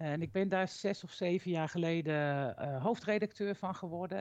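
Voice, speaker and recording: Over a quiet background, a woman talks at a fairly low pitch and moderate pace with ordinary pitch variation. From Utrecht, Netherlands. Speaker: education magazine editor-in-chief. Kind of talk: interview. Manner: halting.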